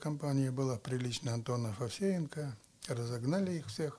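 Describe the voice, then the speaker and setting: A man's somewhat breathy voice carries lively intonation at a moderate pace. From Russia, Murmansk. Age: 80s+. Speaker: former city mayor. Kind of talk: interview storytelling.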